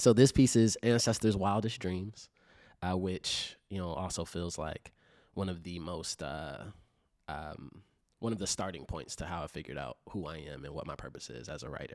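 Over a very clean recording with a silent background, a man with a very deep, low pitch uses lively intonation, vocal fry and big swings in loudness. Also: moderate pace. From Chicago. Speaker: writer and organizer. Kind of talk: casual chat.

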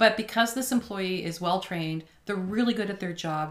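With a Maritime Canadian accent, a woman talks fairly quickly at medium pitch with ordinary pitch variation, over noticeable background noise. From New Brunswick, Canada (Moncton). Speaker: restaurant owner. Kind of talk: casual interview. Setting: studio.

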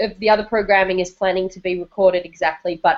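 An ordinary speaking voice belongs to a woman at medium pitch. Her intonation is fairly even. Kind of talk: live-streamed casual chat. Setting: video call, live stream.

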